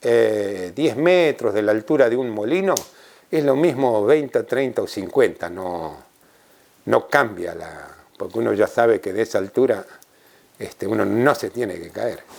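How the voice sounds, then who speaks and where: A man with an Argentine accent speaks at a medium pitch, with vocal fry in his voice. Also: lively intonation. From Argentina, La Pampa. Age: 70s. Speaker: former tightrope walker. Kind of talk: interview reminiscence. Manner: halting, with filler sounds.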